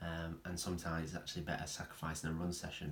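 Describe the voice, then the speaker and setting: A man talks at a very fast pace in a very deep, low pitch. His delivery is somewhat breathy, with monotone, flat intonation. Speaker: running coach and strength trainer. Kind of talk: casual talk to camera.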